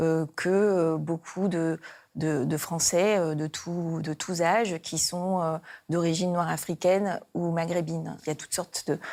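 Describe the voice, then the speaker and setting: Over a silent background in a very clean recording, a woman speaks at a fairly slow pace. Her fairly low pitch and dark, mellow tone stay monotone and flat. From Réunion. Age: 40s. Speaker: politician, parliamentary candidate. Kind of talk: campaign video interview. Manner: hesitant, many filler sounds.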